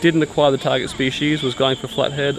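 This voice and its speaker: A man speaks with an Australian accent over noticeable background noise. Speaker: travel vlogger. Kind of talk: casual vlog chat.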